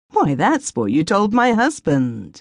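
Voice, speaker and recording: Using a put-on character voice, a woman speaks fairly slowly at medium pitch, shrill and with very wide pitch swings, the sound dry and close with no echo. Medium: read story. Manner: flippant, odd laughter.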